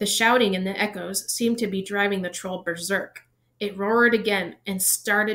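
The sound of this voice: The background is quiet behind this unforced reading voice, whose intonation stays fairly even.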